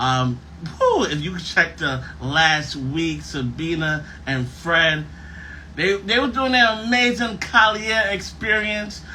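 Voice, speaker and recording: A loud man with high pitch and lively intonation speaks at a fairly slow pace, with audible room echo around him. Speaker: podcast host. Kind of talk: casual chat. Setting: live stream.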